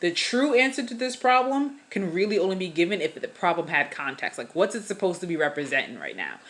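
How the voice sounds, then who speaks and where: Her pitch is medium, with very wide swings up and down. The woman talks very fast with hardly any pauses. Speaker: math teacher. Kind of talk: tutorial. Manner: casual.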